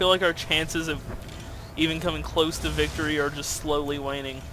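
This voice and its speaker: Noticeable background noise under a man's fairly high voice at a moderate pace. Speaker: gaming YouTuber. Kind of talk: gameplay commentary, narrating own PvP match. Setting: recorded gameplay video, voiceover. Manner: casual, self-deprecating, focused, mumbling asides.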